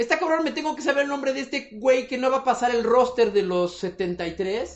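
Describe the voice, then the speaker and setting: Speaking with a Mexican accent, a man's voice sits at an extremely high pitch. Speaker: podcast co-host. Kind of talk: casual chat.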